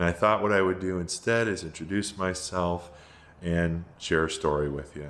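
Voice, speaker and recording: A man with a very deep, low pitch and an American accent, at a moderate pace. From New England (Springfield, Massachusetts). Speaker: private pilot, video creator. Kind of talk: casual storytelling to camera. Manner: hesitant, many filler words.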